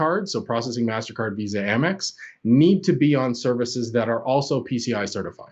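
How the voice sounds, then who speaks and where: A man with a Canadian accent and an ordinary speaking voice, lively intonation, moderate pace. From Canada. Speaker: cloud security expert. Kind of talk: podcast interview.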